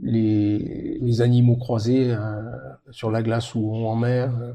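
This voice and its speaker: Audible room echo surrounds a man speaking at a very slow pace. He has a medium pitch and a monotone, flat intonation. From Mediterranean France. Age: 70s. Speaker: polar expedition sailor. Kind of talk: interview. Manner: halting.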